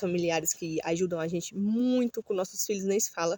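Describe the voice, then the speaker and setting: A woman talks at a fairly quick pace. Her medium-pitched voice is somewhat breathy. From Brazil, Ceará (Northeast). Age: 30s. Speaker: vlogger. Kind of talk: casual vlog monologue. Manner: halting, many fillers.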